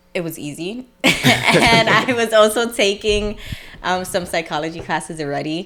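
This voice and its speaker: Over noticeable background noise, a woman with an American accent talks with lively intonation. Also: medium pitch for a woman, moderate pace. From New York City (Brooklyn). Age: 20s. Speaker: hairstylist. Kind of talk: casual interview chat.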